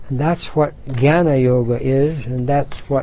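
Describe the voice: What we hear is plain reading aloud.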